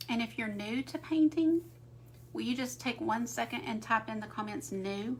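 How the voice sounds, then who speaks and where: A woman talks at a moderate pace with an American accent. Noticeable background noise is audible behind her. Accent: Southern US, noticed by viewers. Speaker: art teacher. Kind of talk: live painting tutorial. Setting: livestream. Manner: casual, chatty.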